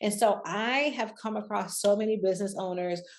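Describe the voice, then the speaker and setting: A woman talks with a normal speaking voice at medium pitch. Her pace is moderate and her pitch varies in an ordinary way. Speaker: business coach and online entrepreneur. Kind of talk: casual talk to camera. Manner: conversational, many fillers.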